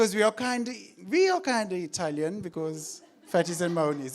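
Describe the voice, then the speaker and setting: Raising and projecting his voice, a man speaks at a moderate pace with an animated tone and very wide pitch swings. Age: 30s. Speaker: comedian. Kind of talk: stand-up. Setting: stage with audience.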